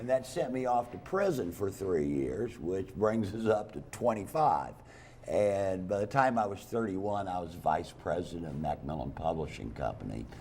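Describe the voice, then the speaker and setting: In a room with audible echo, a man speaks at a fairly low pitch that swings very widely. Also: moderate pace. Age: 60s. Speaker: stand-up comedian. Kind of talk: talk show interview.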